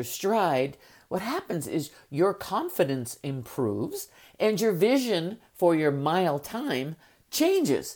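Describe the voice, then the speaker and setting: The recording is very clean, with a silent background. The pace is very slow. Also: woman. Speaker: life coach and podcast host. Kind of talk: motivational monologue. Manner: energetic.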